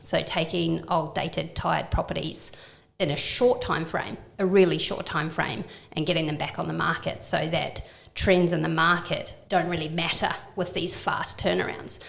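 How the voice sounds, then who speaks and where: A woman speaks with a slight New Zealand accent. Audible room echo and noticeable background noise are in the recording. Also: moderate pace. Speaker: downsizing and property renovation business owner. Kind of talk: podcast interview.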